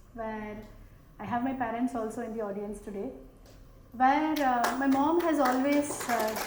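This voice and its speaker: A woman's high-pitched voice with a slight South Indian accent, ordinary pitch variation, and audible room echo. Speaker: panelist, business executive. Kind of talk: panel discussion. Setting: stage with audience.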